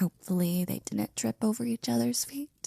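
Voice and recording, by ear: This put-on character voice has a dark, mellow tone, vocal fry and a slightly husky edge, ordinary pitch variation, and a moderate pace, recorded dry and close with no echo. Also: woman, fairly high pitch for a woman.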